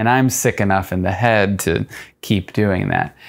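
The voice has ordinary pitch variation against a quiet background. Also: man. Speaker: fitness vlogger. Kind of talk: casual vlog chat. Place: home room. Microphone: lapel.

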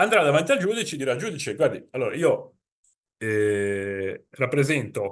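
A man with a Genoese accent, fairly high in pitch, with very wide pitch swings, a fairly slow pace and long, frequent pauses over a quiet background. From Italy, Genoa; Italy. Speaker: insurance consultant; presenter. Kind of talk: webinar presentation. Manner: conversational. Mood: informal, explanatory. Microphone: webcam.

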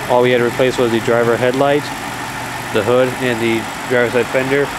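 Speech at a fairly quick pace, with noticeable background noise behind it. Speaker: car seller. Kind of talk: sales walkaround commentary. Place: garage. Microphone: phone near.

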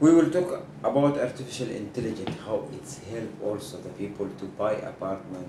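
Someone with an Arabic accent talks at a moderate pace with ordinary pitch variation over noticeable background noise. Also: man. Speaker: TV show host. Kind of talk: interview. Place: office.

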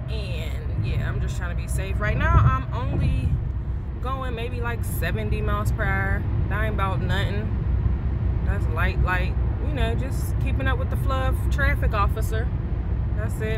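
Loud background noise surrounds a woman whose speech is broken by long, frequent pauses. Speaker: vlogger. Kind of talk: casual vlog chat. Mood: relaxed, playful. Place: car. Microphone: phone near.

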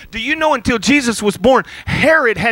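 At a moderate pace, the raised, projected voice sounds animated, with ordinary pitch variation and a dry sound free of echo. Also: man. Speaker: pastor. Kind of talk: sermon. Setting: church. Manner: halting. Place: church. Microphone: handheld.

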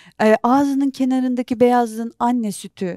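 At a moderate pace, a woman speaks in a dark, mellow tone with ordinary pitch variation, the sound dry with no echo and the background quiet. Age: 40s. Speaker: documentary filmmaker and journalist; interview guest. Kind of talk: interview. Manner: halting. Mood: emotional, recounting traumatic events. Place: studio. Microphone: lapel.

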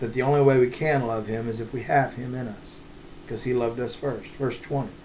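A man talks at a moderate pace and medium pitch in a somewhat breathy voice. Light background noise is present. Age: 40s. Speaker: pastor. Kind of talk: devotional bible teaching. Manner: halting, many fillers. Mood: earnest, calm. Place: home room. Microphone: webcam.

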